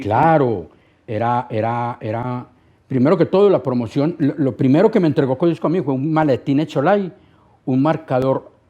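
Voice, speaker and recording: A man at a medium pitch, with a dark, mellow tone, lively intonation and a fairly slow pace. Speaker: radio host, record promoter and TV presenter. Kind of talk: interview answer. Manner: cheerful, humorous, talkative.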